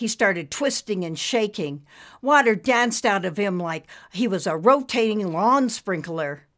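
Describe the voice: This is plain reading aloud. Its intonation is lively.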